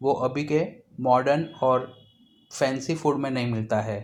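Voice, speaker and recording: A man talks with a Gujarati accent. His tone is calm and his pitch medium. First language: Gujarati (speaking Hindi). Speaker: cooking channel host. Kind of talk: cooking tutorial. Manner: calm, instructional.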